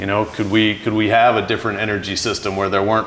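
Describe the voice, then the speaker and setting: Over light background noise, a man talks at a fairly low pitch. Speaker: interview guest. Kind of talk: interview answer. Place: home room.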